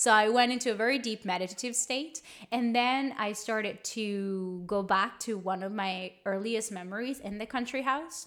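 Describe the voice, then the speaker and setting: With a Spanish accent, a woman speaks at a moderate pace with hardly any pauses. Her pitch is fairly high and varies in an ordinary way. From small town in Colombia. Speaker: podcast co-host, spiritual teacher. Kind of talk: casual chat.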